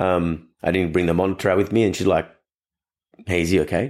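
Very fast and very deep in pitch, a man talks with an Australian accent in a very clean recording with a silent background. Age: 30s. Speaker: dog trainer and podcast host. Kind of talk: casual solo podcast talk.

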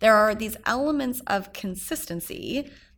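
A woman with a Canadian accent has an unremarkable speaking voice and lively intonation at a moderate pace. The recording is very clean, with a silent background. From Canada, Edmonton. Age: 30s. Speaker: entrepreneur and business coach. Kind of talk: interview.

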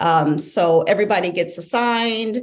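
A woman's plain, everyday voice with an American accent and ordinary pitch variation. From St. Louis, Missouri. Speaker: executive MBA student, former scientist. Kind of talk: interview.

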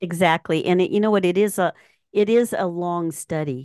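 Against a quiet background, a woman with an ordinary speaking voice talks at a fairly low pitch and moderate pace, the sound dry and close with no echo. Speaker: podcast host and musician. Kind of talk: casual interview. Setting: studio.

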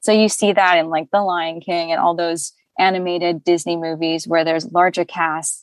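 Recorded with a dry, close sound with no echo and a quiet background, a woman speaks at fairly low pitch and a moderate pace. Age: 30s. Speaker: voiceover actor. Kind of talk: casual chat.

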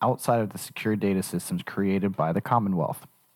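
A man's plain, everyday voice, fairly low in pitch and fairly quick, with a dry, close sound with no echo. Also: very clean recording, silent background. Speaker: podcast producer. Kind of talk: reading a news article aloud.

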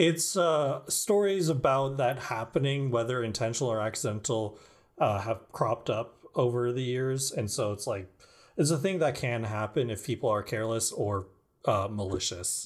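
Using an ordinary speaking voice, a man talks at a moderate pace and medium pitch with lively intonation, in a very clean recording with a silent background. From California. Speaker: podcast host. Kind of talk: casual chat with improv.

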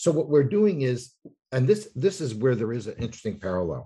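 This man speaks at a moderate pace with an American accent, a medium pitch, and a dark, mellow tone that is somewhat breathy. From New York. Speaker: author and urban researcher. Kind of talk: interview.

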